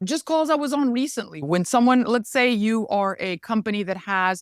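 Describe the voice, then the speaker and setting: A woman with a Spanish accent talks at a fairly quick pace with very wide pitch swings, in a very clean recording with a silent background and a dry, close sound with no echo. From Mexico. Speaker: regulatory affairs lawyer and consultant. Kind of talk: podcast interview.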